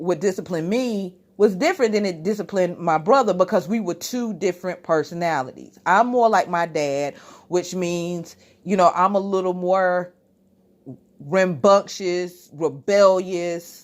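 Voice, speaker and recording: The speaker's tone is animated, with ordinary pitch variation and a fairly slow pace. The recording is very clean, with a silent background. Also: woman, medium pitch for a woman. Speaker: YouTube reviewer. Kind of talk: casual commentary vlog. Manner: loud.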